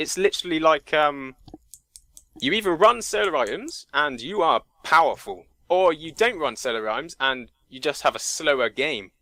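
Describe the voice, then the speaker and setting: A man with a fairly high pitch speaks loudly at a moderate pace, his tone bright and sharp, in a dry, close sound with no echo. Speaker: gamer. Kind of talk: podcast discussion. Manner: animated.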